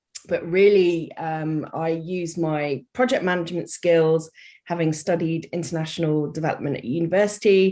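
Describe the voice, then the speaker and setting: At a moderate pace, a woman with a British accent speaks in a dark, mellow tone with fairly even intonation. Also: fairly low pitch for a woman. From UK. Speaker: life coach and charity worker. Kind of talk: podcast interview.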